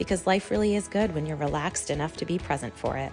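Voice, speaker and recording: This woman's pitch is very deep and low, with lively intonation. Music plays in the background. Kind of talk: podcast intro.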